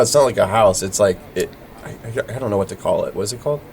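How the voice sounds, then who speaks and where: The speech comes at a very fast pace with an American accent, over noticeable background noise. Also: man. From Florida. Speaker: podcast host. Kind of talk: casual interview chat. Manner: casual.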